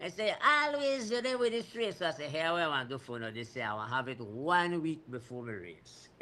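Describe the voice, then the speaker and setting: Fairly high and bright with a sharp tone, a man's voice moves at a fairly quick pace through very wide pitch swings. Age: 60s. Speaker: cycling race organizer. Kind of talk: radio talk show interview.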